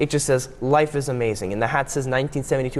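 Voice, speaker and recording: The delivery is very fast and animated. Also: man. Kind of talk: interview.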